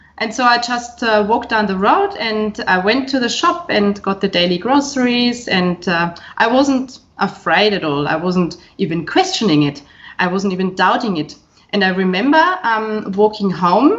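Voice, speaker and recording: With a German accent, a woman speaks at a medium pitch with lively intonation. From Bavaria, Germany. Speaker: professor. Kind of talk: casual interview chat. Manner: hesitant, filler-heavy.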